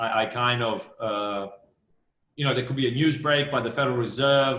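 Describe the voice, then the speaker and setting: Delivered at a moderate pace, the speech has fairly even intonation and audible room echo. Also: man, medium pitch for a man. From Australia. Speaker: fund manager. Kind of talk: interview. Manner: many fillers, repeats words.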